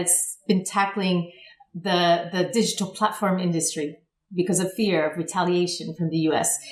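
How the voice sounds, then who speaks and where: Noticeable background noise accompanies a woman with an American accent. She speaks at a moderate pace and medium pitch with fairly even intonation. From United States. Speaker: public affairs consultant. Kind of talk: interview.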